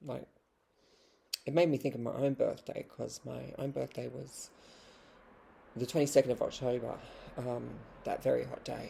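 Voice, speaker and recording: Moderate pace with long, frequent pauses, in an Australian accent. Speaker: vlogger and poet. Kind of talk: casual vlog monologue.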